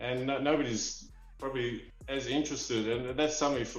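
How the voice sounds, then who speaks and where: A medium-pitched man with an Australian accent at a very fast pace, amid audible room echo and noticeable background noise. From Australia (Perth, Western Australia). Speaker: toy figurine collector. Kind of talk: interview storytelling. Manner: animated.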